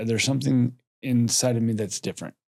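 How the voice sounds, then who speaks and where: At a moderate pace, a man talks with a medium-pitched voice. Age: 40s. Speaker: entrepreneur, coaching guest. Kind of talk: emotional conversation during coaching session. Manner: animated.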